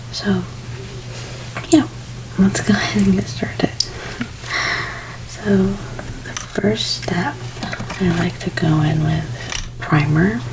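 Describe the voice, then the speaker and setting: Amid noticeable background noise, a soft-spoken voice moves at a very slow pace with long, frequent pauses. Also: woman. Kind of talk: ASMR makeup role play. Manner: repetitive trigger words.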